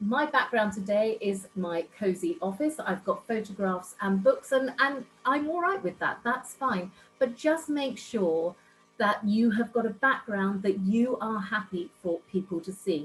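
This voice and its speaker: A woman's unremarkable speaking voice, fairly high in pitch, fairly slow, with lively intonation. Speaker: networking club founder, business speaker. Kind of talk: online workshop presentation. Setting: video call from home office.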